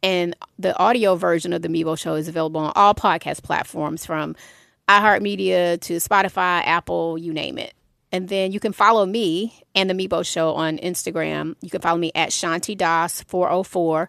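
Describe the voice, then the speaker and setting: A woman speaks in an ordinary speaking voice at a fairly low pitch. Her pace is moderate and her pitch variation ordinary. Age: 50s. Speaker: music industry executive and mental health advocate. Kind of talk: interview.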